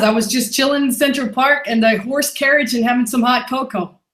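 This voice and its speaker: A woman speaks at a high pitch. Her pace is fairly quick. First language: not English. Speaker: e-commerce seller. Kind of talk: interview. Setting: live online webinar.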